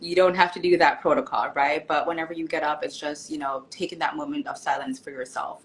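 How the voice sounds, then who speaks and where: Speaking at a very fast pace, a woman lets her pitch swing very widely. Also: fairly low pitch for a woman, hardly any pauses. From Jamaica, Kingston. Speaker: author and nurse. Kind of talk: casual interview. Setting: live stream.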